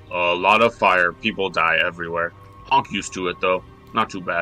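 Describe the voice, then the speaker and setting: A man uses a put-on character voice, pitched very deep and low. He speaks at a moderate pace with clear music in the background. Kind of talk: broken third-person speech. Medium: actual play. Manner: blunt, simple, crude.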